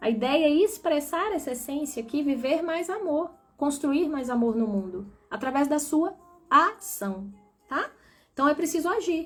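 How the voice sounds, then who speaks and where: A woman speaks high in pitch with lively intonation. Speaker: spiritual coach. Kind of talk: live stream talk.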